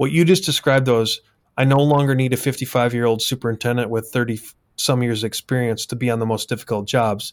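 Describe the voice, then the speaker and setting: A man's normal speaking voice, medium in pitch, at a fairly quick pace with fairly even intonation. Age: 50s. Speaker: podcast host, construction company CEO. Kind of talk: interview conversation. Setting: video call.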